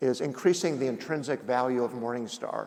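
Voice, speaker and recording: Speaking with an American accent, a man talks at a fairly quick pace in a medium pitch. His voice has vocal fry and ordinary pitch variation. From Indiana. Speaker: company founder and executive chairman. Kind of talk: on-stage interview.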